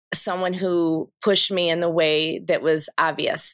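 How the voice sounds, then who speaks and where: A woman with an American accent, fairly low in pitch, at a moderate pace. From northern Michigan. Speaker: school principal. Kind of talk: interview.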